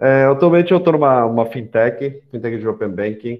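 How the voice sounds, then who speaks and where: A man with a non-native accent speaks at a moderate pace with ordinary pitch variation. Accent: foreign accent in Portuguese. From São Paulo, Brazil (arrived age 10 after Korea and Paraguay). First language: Korean (speaking Portuguese). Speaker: startup panelist, fintech professional. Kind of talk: panel talk. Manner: halting, many fillers.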